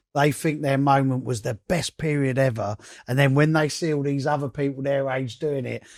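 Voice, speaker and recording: On a very clean recording with a silent background, a man with an English accent speaks at a fairly high pitch. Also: moderate pace. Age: 50s. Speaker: DJ and podcast host. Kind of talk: casual chat. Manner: animated.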